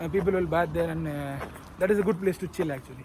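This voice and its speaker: His pitch moves in an ordinary way. This man speaks with a non-native accent. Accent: non-native English, self-described weird. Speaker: travel vlogger. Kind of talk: casual vlog narration. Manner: halting, many fillers.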